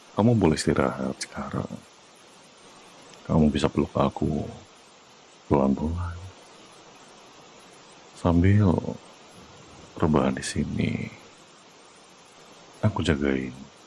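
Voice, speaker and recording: Against noticeable background noise, a man with a very deep, low pitch and ordinary pitch variation pauses long and often. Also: fairly slow pace. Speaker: VTuber ASMR roleplay performer. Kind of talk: ASMR boyfriend comfort roleplay. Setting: close-mic ASMR recording for headphones. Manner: soft, calm, reassuring, whispered.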